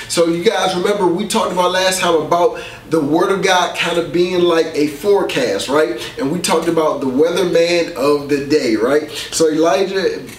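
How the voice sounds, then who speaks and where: Audible room echo and light background noise are present as a man speaks at a high pitch. He keeps a moderate pace with ordinary pitch variation. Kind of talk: sermon. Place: studio.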